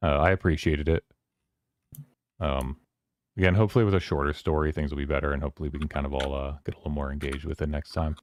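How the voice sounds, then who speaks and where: A man's very deep, low voice with vocal fry, a very fast pace broken by long, frequent pauses, fairly even intonation, and a dry, close sound with no echo. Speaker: streamer hosting a book club. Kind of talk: casual livestream chat.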